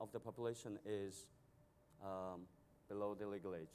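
A man with a Mongolian accent speaks at a moderate pace. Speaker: banker, financial company CEO. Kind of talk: panel discussion. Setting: stage with audience at a conference. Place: stage. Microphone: lapel.

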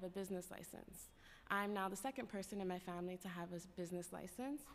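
A woman with an American accent talks at a very fast pace with fairly even intonation. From New York City, Lower East Side and Spanish Harlem; New York City. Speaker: worker cooperative advocate; public witness. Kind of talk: public testimony. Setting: council chambers. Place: hall. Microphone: podium.

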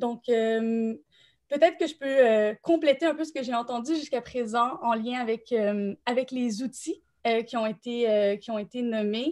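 A woman with a Quebec accent speaks at a fairly slow pace, her pitch high and its variation ordinary. Behind her, the background is quiet. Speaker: nonprofit director supporting thesis writers; panelist, thesis coach. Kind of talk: live panel discussion. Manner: hesitant, many fillers. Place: home room. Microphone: video call.

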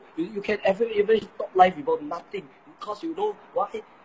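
A man with a Singaporean accent speaks at a high pitch, his voice making very wide pitch swings. Light background noise runs underneath. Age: 20s. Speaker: polytechnic student. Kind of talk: roast battle banter. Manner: animated. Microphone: phone near.

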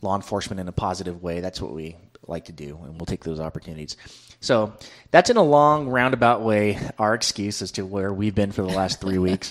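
Over a quiet background, a man with a fairly low pitch talks at a fairly quick pace with big swings in loudness. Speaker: podcast co-host. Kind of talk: casual podcast chat. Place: studio. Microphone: studio mic.

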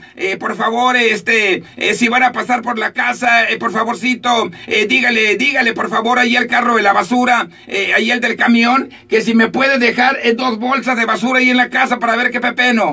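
A man raises and projects his voice at an extremely high pitch. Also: moderate pace, hardly any pauses. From Sinaloa, Mexico. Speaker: radio announcer. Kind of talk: morning radio show host talk. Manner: upbeat, joking. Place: booth. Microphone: studio mic.

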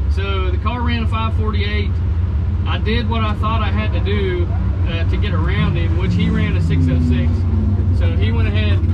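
Amid loud background noise, a man speaks at a moderate pace with ordinary pitch variation and long, frequent pauses. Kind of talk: casual vlog chat. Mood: upbeat, relieved. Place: car. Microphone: camera far.

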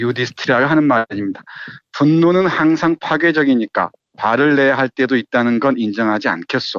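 Using an ordinary speaking voice, a man talks at a medium pitch and a fairly quick pace, with ordinary pitch variation and very even loudness. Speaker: literature professor and critic. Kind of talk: book discussion.

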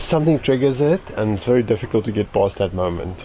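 A plain, everyday voice at a fairly quick pace with lively intonation, a dry sound with no echo, and light background noise. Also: man. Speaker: travel vlogger. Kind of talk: casual vlog chat. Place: open country. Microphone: phone near.

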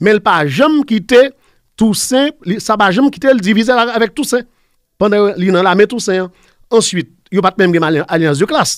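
A man's high voice with lively intonation, a dry sound with no echo and a quiet background. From Haiti. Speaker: professor. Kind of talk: interview. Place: studio. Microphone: studio mic.

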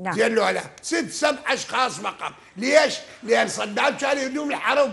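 Here a man with an Iraqi accent speaks at an extremely high pitch, bright and sharp in tone. His pace is fairly slow, with ordinary pitch variation. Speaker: legal expert; talk show guest. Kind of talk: heated debate; interview answer. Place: studio. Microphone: lapel.

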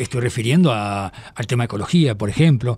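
A man with medium pitch and an unremarkable speaking voice talks at a moderate pace. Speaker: radio host. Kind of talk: radio interview.

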